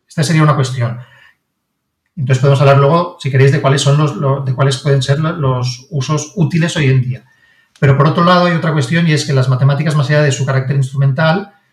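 This man's voice sits fairly high and is somewhat breathy, with fairly even intonation. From Barcelona, Spain. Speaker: science and maths content writer, author. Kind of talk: interview.

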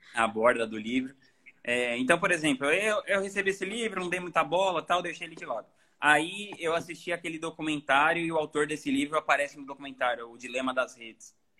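Bright and sharp in tone, the speech runs at a fairly quick pace with lively intonation and big swings in loudness. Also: man, fairly high pitch for a man. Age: 30s. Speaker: author and musician. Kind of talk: casual interview.

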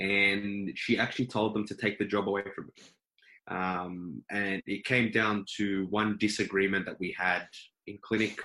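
Bright and sharp in tone, a man with an Australian accent speaks at a fairly low pitch with fairly even intonation. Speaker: dentist. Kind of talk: casual interview.

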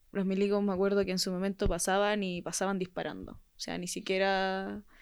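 The recording is very clean, with a silent background. A woman speaks in a monotone, flat intonation. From Chile, Puente Alto. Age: young. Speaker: protest injury victim. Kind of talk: testimony.

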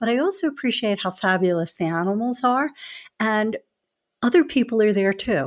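A woman with a Philadelphia accent and a fairly high pitch speaks at a moderate pace with very wide pitch swings, on a very clean recording with a silent background. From Philadelphia, US. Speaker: advocacy executive. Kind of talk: casual conversation.

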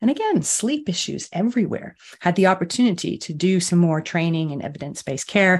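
Talking at a very fast pace, a woman with an American accent sounds somewhat breathy. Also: fairly low pitch for a woman, lively intonation. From US. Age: 50s. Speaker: sleep coach. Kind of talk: interview chat.

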